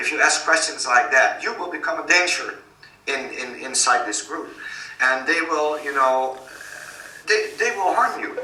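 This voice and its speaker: A man with a Dutch accent speaks at a moderate pace with long, frequent pauses, over noticeable background noise and audible room echo. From Netherlands. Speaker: author and activist. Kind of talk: interview.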